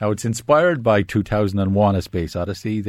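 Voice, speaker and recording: Talking at a fairly quick pace, a man with a Wexford accent has a fairly low voice and ordinary pitch variation. The recording is very clean, with a silent background. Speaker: film critic. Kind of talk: casual chat. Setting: studio. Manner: hesitant, many fillers.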